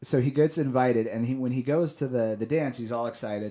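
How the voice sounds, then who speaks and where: With a normal speaking voice and an American accent, a man talks at a medium pitch with fairly even intonation on a very clean recording with a silent background. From Salt Lake City, Utah. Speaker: comic book creator and comics shop guest. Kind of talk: casual interview chat. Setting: studio.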